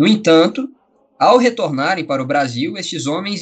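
With lively intonation and a high pitch, this man talks at a moderate speed. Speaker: podcast host. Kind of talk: interview. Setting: video call.

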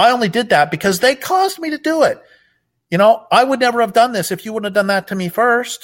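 Extremely high-pitched, a man talks at a very fast pace with very wide pitch swings. The recording is very clean with a silent background. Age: 60s. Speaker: author and activist. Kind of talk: interview.

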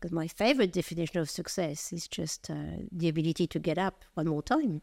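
Fairly low-pitched woman's voice in a French accent, ordinary pitch variation, fairly quick pace, very clean recording with a silent background. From France. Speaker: retail executive. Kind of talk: interview.

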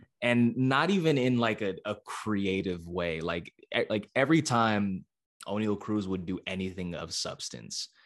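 With an American accent, a man in a plain, everyday voice speaks at a fairly slow pace, his pitch fairly low and his intonation lively. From San Francisco Bay Area, California. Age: 20s. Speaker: sports reporter. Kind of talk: casual podcast interview.

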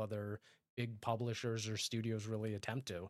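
In a very clean recording with a silent background, a man with a plain, everyday voice speaks at a medium pitch and a fairly quick pace. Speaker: podcast host. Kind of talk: casual chat.

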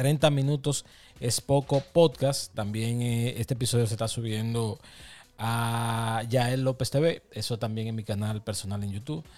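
This is an unremarkable speaking voice at a fairly slow pace. The recording is very clean, with a silent background. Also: man, medium pitch for a man, fairly even intonation. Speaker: podcast co-host. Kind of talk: casual chat.

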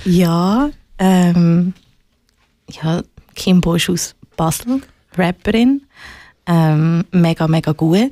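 Dry and close with no echo, a woman speaks at a very slow pace with long, frequent pauses. Her tone is dark and mellow, her pitch fairly low, with ordinary pitch variation. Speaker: musician and activist. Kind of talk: casual interview.

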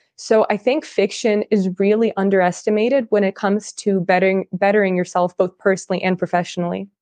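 A woman talks very fast with a Californian accent, hardly pausing at all. Her pitch is medium, her intonation fairly even, her loudness very even, and the sound dry and close with no echo. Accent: American (Californian). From California, born in Russia. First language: Russian. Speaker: marketer and writer. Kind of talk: casual interview.

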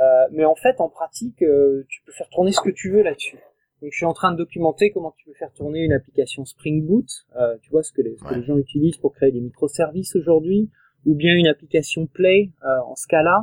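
The man's voice is high-pitched and moves at a fairly quick pace. His loudness swings a lot, and the sound is dry and close with no echo. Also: ordinary pitch variation. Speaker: tech evangelist team lead. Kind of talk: casual tech interview.

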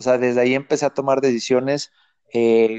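At a fairly quick pace, a man talks in a medium pitch. His intonation is monotone and flat. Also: quiet background. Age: 30s. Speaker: online entrepreneur. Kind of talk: interview.

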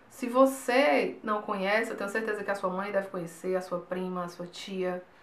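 In a room with audible echo and noticeable background noise, a woman speaks at a medium pitch. She goes at a fairly slow pace with ordinary pitch variation. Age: 20s. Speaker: YouTuber. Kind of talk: personal vlog talk.

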